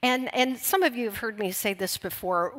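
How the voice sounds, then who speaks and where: With lively intonation, a woman speaks in a high voice that has a bright, sharp tone. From US Midwest, Columbus, Ohio. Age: 60s. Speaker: recovery speaker. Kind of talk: testimony.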